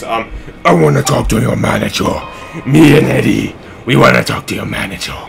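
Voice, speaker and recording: Clear music plays in the background. Over it, a put-on character voice growls. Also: man, moderate pace. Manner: demanding, menacing.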